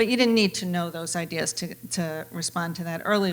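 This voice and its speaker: A woman talks at a fairly quick pace in an ordinary speaking voice. Her pitch is fairly low, with ordinary variation. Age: 60s. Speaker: panel moderator. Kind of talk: moderated panel discussion.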